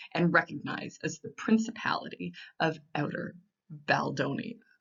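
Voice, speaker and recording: A woman with a normal speaking voice keeps a fairly low pitch and moves at a moderate speed. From Maritime Canada. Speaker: storyteller. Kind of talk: casual storytelling to camera.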